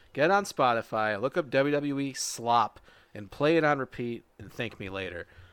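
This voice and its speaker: A man with a plain, everyday voice and medium pitch speaks with lively intonation. The sound is dry and close with no echo, a very clean recording with a silent background. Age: 20s. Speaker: wrestling podcast host. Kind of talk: casual chat.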